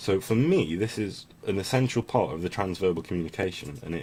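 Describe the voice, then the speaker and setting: Very deep and low, a man's voice has a dark, mellow tone, lively intonation and a fairly quick pace. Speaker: vlogger with schizophrenia. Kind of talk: monologue vlog. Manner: fast; intense.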